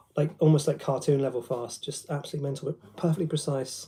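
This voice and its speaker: A man with a fairly high, somewhat breathy voice of dark, mellow tone, very fast pace and fairly even intonation. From London, England. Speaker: guitarist and guitar teacher. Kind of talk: casual livestream chat with guitar demos. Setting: live stream. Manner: hesitant, many ums.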